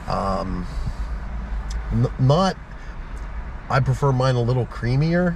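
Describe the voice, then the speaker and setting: A man at a very slow pace, in dry sound with no echo, over noticeable background noise. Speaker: co-host reviewer. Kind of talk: casual vlog chat. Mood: relaxed, content. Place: car. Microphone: phone near.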